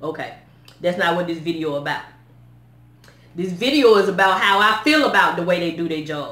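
There is audible room echo as a woman talks at a very fast pace with ordinary pitch variation. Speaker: vlogger. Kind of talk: casual vlog chat. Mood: upset, animated storytelling. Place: home room. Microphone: phone near.

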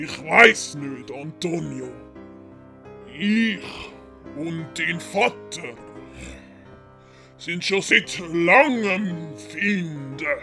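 Clear background music behind a man's put-on character voice, fairly high in pitch, very slow, with long, frequent pauses. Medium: read story. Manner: pompous.

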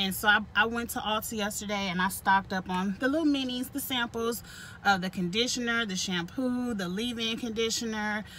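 Moderate pace and fairly even intonation, in a dry sound with no echo and light background noise. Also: woman. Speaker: vlogger. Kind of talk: casual vlog chat. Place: car. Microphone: phone near.

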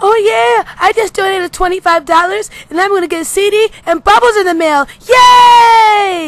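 A cartoonish character voice, extremely high in pitch, at a fairly slow pace. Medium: puppet show. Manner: giddy, gleeful.

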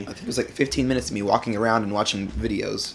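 Speaking at a very fast pace, a man uses a fairly low pitch with vocal fry and ordinary pitch variation. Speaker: co-host of gaming video. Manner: casual, joking.

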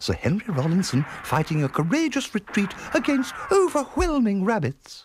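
A man's put-on character voice, high in pitch with very wide pitch swings, a slightly husky edge and a moderate pace.

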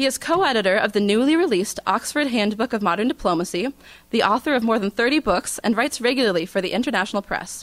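The speech moves at a very fast pace with lively intonation. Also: woman, fairly high pitch for a woman. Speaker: student event organizer; event host introducing lecturer. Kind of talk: formal introduction. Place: hall.

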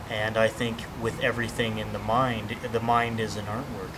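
A man's flat, monotone delivery at a moderate pace, over noticeable background noise. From Southern California. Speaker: martial arts student giving seminar feedback. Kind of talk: testimonial. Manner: halting, many fillers. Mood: earnest, appreciative. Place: garden.

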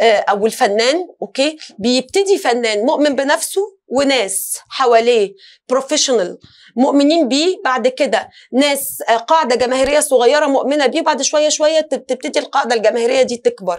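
A woman talks at a high pitch and a moderate pace, her intonation lively. Her loudness stays very even over a quiet background. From Tunisia. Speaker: singer and actress; interview guest, actress. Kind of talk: talk show interview. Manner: halting, many fillers and restarts. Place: studio.

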